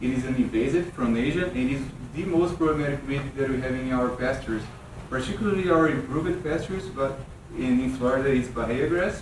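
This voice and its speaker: Someone with a Brazilian Portuguese accent speaks at a fairly quick pace with ordinary pitch variation, amid audible room echo and noticeable background noise. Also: man, fairly high pitch for a man. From Brazil, São Paulo state. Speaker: weed scientist, extension specialist. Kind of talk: workshop lecture. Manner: halting, with repetitions.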